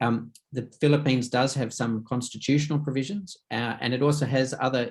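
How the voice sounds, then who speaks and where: Speaking at a fairly quick pace, a man with an Australian accent uses a medium-pitched voice. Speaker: conference moderator. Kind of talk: panel discussion.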